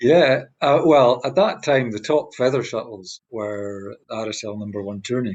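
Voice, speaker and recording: A man with a Scottish accent talks at a moderate pace with hardly any pauses. His pitch is medium with ordinary variation, and his loudness swings widely. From Scotland. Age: 60s. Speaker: badminton player. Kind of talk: interview answer.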